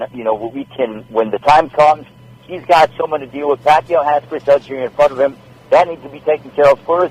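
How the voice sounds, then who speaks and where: A man with a normal speaking voice and fairly high pitch talks at a fairly quick pace with ordinary pitch variation. His loudness swings widely, and the sound is dry and close with no echo. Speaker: sports anchor and boxing ring announcer. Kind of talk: podcast interview answer about boxing. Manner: conversational, friendly, talkative.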